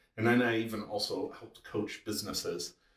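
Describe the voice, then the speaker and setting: A man with a slight Wisconsin accent talks at a moderate pace. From Wisconsin, US Midwest. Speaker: chiropractor. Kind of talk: podcast interview.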